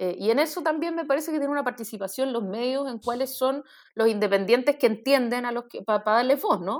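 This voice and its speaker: Her high voice moves at a fairly quick pace with ordinary pitch variation as a woman speaks. The recording is very clean, with a silent background. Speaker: podcast co-host. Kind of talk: casual political discussion.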